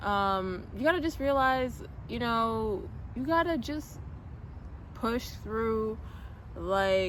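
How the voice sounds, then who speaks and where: The speech comes at a very slow pace, broken by long, frequent pauses. Room echo can be heard. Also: woman. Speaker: trading coach and vlogger. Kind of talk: casual vlog monologue. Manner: hesitant, many fillers.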